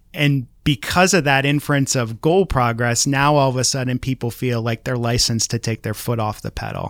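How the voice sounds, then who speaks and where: An unremarkable speaking voice from a man at medium pitch, with ordinary pitch variation, a moderate pace and hardly any pauses, in a dry, close sound with no echo on a very clean recording with a silent background. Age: 30s. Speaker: marketing professor. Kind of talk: casual interview.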